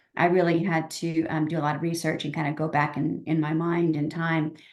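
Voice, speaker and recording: This woman has a plain, everyday voice with a fairly low pitch. She speaks at a moderate pace. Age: 60s. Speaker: novelist. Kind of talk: interview.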